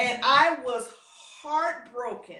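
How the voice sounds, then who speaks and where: Audible room echo carries a woman's raised, projected voice. Her pitch is high. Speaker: former beauty queen and pageant coach. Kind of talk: interview.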